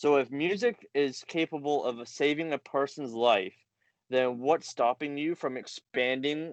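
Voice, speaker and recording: This man has an unremarkable speaking voice, fairly high in pitch, moving at a fairly slow pace with fairly even intonation over a quiet background, the sound dry and close with no echo. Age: 30s. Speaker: recovery group founder. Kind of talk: casual interview chat.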